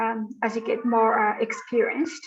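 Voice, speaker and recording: A woman with a Malagasy accent speaks at a fairly slow pace in a high voice. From Madagascar. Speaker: conservation researcher. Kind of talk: interview. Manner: hesitant, many fillers.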